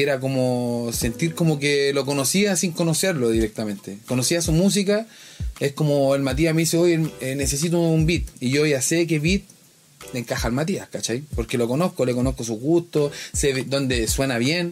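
A man with a Chilean accent speaks at a moderate pace in a fairly high pitch, with ordinary pitch variation and very even loudness, over noticeable background noise. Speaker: music producer. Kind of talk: casual interview.

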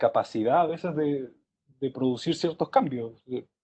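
This is a man with a Chilean accent. His pitch varies in an ordinary way. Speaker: university student. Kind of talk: casual chat.

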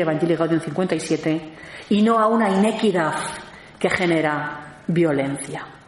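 There is noticeable background noise and audible room echo. The woman's pitch varies in an ordinary way. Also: very even loudness. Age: 50s. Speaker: theologian and lecturer. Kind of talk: lecture.

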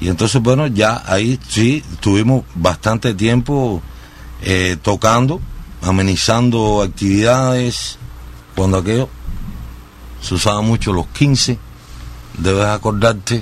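Very slow pace from a man at fairly low pitch, with long, frequent pauses. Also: ordinary pitch variation. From Cuba, Sagua la Grande. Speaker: singer. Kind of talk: radio interview. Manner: halting, many fillers.

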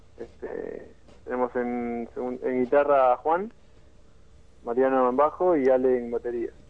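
Speaking at a fairly slow pace and medium pitch, a man uses fairly even intonation with long, frequent pauses. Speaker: rock band singer and guitarist. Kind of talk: radio interview.

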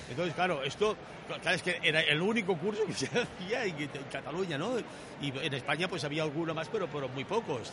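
Lively intonation and a fairly quick pace mark speech heard over noticeable background noise. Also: man. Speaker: veteran scuba diver. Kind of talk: round-table chat.

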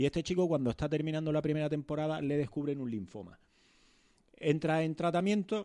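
A man's fairly high pitch and dark, mellow tone, with ordinary pitch variation at a fairly quick pace. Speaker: podcast co-host. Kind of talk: casual chat.

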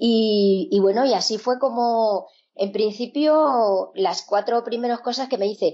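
A woman with an ordinary speaking voice talks at a fairly slow pace and fairly high pitch, her pitch varying in an ordinary way and her loudness very even. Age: 50s. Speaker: sewing teacher. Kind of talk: interview conversation.

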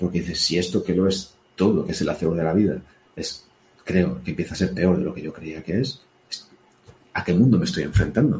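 A man's very deep, low voice, somewhat breathy, at a fairly quick pace with ordinary pitch variation and long, frequent pauses. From Spain. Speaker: former police officer and podcaster. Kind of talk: casual interview. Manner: halting, frequent repetitions.

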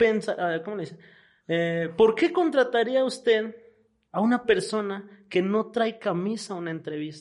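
Speaking at a fairly slow pace with a Mexican accent, a man's pitch swings very widely against a quiet background. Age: 20s. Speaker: podcast co-host. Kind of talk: casual chat.

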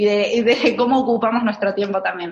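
Somewhat breathy, a woman with an Argentine accent and a fairly high pitch talks at a moderate pace. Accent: Argentine Spanish (Rioplatense). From Argentina. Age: 30s. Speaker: minimalism content creator. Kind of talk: interview. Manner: hesitant, with frequent fillers and repetitions.

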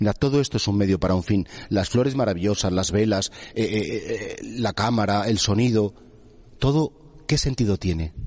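Here is a man with an unremarkable speaking voice at a fairly low pitch. His pitch variation is ordinary and his pace moderate. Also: very even loudness. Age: 50s. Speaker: priest. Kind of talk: sermon.

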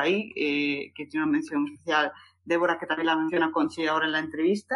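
Over a quiet background, a woman talks at a very fast pace. Her pitch variation is ordinary. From Galicia, Spain (A Coruña). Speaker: book podcast co-host. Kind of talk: casual chat.

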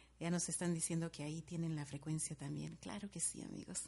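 Against a quiet background, a woman with a fairly low pitch has a dark, mellow, somewhat breathy tone. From Guatemala, Guatemala City. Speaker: radio host. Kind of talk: radio show with dedications and music.

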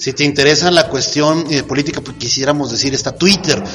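A man's fairly high voice in a Mexican accent, fairly quick and fairly even in intonation, with noticeable background noise. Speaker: podcast host. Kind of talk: casual interview.

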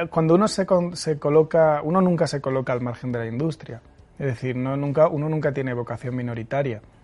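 Ordinary pitch variation in a fairly high male voice, moving at a fairly quick pace. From Spain, Murcia. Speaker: film director. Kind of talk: interview. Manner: halting, many repeated words.

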